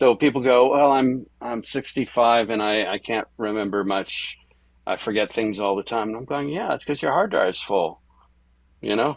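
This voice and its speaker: A man talks in an ordinary speaking voice at medium pitch. His pace is moderate, with ordinary pitch variation. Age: 60s. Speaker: musician. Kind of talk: interview. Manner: conversational, with filler words.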